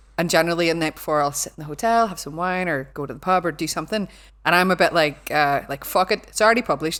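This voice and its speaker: This woman speaks very fast in a fairly low pitch, with ordinary pitch variation. The recording is very clean, with a silent background. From Northern Ireland, Belfast. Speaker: cyber security lecturer. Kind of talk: casual chat. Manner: animated.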